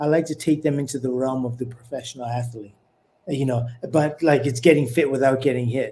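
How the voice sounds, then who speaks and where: Fairly high-pitched, a man's voice has a dark, mellow tone and fairly even intonation. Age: 60s. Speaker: former professional boxer and fitness trainer. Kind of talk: podcast interview.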